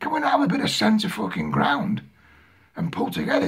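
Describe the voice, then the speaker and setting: Noticeable background noise is present throughout. Over it, a man speaks at a fairly quick pace. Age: 60s. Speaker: video blogger. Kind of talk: political rant. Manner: agitated, stammering repetitions.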